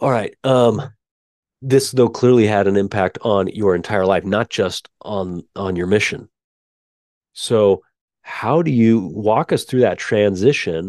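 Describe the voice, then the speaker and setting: In a normal speaking voice, a man talks at a fairly slow pace with a fairly low pitch and ordinary pitch variation, the sound dry and close with no echo. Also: quiet background. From Utah. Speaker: podcast host. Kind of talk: interview conversation.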